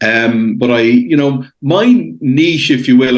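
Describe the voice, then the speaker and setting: A man talks in an Irish accent. His intonation is fairly even. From Ireland. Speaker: international investor. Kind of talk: podcast interview.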